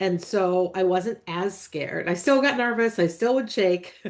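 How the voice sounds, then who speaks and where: A woman's voice at medium pitch, an ordinary speaking voice with an American accent. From United States. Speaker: podcast host. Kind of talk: interview podcast conversation.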